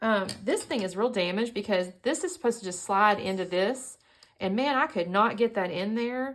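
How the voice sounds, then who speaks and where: A woman with a Southern US accent, fairly high in pitch, with lively intonation and a moderate pace. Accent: Southern US twang. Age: 50s. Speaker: scrapbooking YouTuber. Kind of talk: casual crafting tutorial chat. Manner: chatty, rambling with self-corrections.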